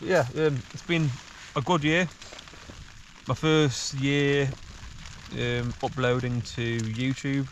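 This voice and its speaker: A man with a fairly high voice speaks at a very slow pace, with long, frequent pauses, fairly even intonation and noticeable background noise. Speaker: hiking vlogger. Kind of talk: casual vlog monologue. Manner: halting.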